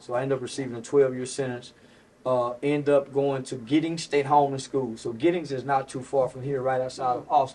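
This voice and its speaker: This man speaks with an American accent at a fairly quick pace. His intonation is monotone and flat. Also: medium pitch for a man. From Texas, Fort Worth. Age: 40s. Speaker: comedian. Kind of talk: interview. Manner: halting, frequent fillers and repeats.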